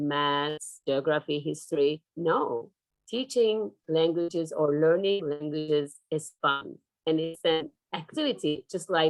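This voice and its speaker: A woman speaks very slowly with a Turkish accent. Her voice sits fairly low, with ordinary pitch variation. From Turkey. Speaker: professor. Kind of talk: lecture. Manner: hesitant with fillers.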